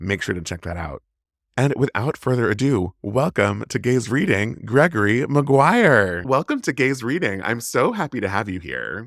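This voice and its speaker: A man with an American accent talks at a moderate pace and medium pitch, his voice swinging very widely in pitch and showing vocal fry, on a very clean recording with a silent background. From US Midwest, St. Louis. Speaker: podcast host. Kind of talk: interview.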